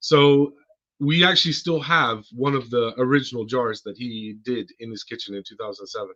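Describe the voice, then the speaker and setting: A man with an American accent, medium in pitch, bright and sharp in tone, at a moderate pace with ordinary pitch variation and big swings in loudness. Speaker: car care company co-founder. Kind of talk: podcast interview.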